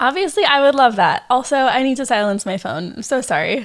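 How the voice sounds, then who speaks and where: A woman speaks with a Californian accent. Her voice is high and her pace fairly quick. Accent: Californian American English. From San Diego, California. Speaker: podcast host and wedding photographer. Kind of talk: casual solo podcast talk.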